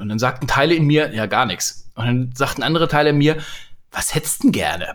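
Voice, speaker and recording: Words come very fast, with ordinary pitch variation throughout. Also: man. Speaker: leadership podcaster and coach. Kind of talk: casual chat. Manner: cheerful, animated.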